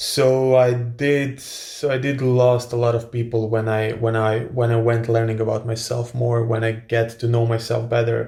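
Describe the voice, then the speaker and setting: A man with a Croatian accent, medium pitch and monotone, flat intonation, at a moderate pace with hardly any pauses, over noticeable background noise. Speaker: influencer and author. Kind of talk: casual Q&A monologue. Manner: hesitant with many fillers and repetitions.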